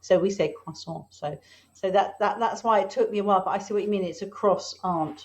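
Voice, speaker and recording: A woman's somewhat breathy voice at a fairly quick pace with fairly even intonation. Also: medium pitch for a woman. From England. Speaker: marketing consultant. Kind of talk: casual interview chat.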